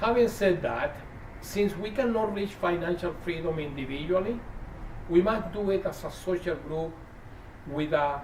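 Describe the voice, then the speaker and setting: Amid noticeable background noise, a man with a high voice speaks at a moderate pace, with ordinary pitch variation and long, frequent pauses. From Chile. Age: 60s. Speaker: activist. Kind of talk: prepared speech.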